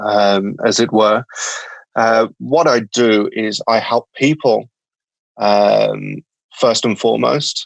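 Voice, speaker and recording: In a Birmingham accent, a man speaks at a very slow pace with long, frequent pauses and very even loudness, the sound dry and close with no echo. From England, Birmingham. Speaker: company founder. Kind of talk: podcast interview. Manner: halting, many fillers.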